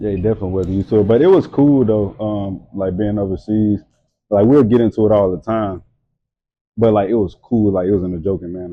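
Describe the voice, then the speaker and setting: A man talks at a very fast pace with a Louisiana accent. His pitch is fairly low and his intonation fairly even. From Louisiana (Hammond). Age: 20s. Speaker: model and entrepreneur. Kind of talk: casual chat. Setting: tattoo studio.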